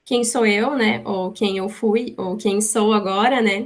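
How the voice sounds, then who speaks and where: Speaking at a fairly slow pace, a woman has an unremarkable speaking voice, fairly high in pitch, with fairly even intonation. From Rio Grande do Sul, Brazil (born in São Paulo, moved as small child). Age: 30s. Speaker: business manager, guest lecturer. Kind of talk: lecture.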